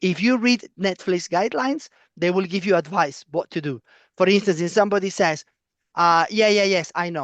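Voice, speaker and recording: The speaker has a Spanish accent and talks at a moderate pace. The background is quiet. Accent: foreign, non-British (Spanish). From Spain. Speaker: professor. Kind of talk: lecture.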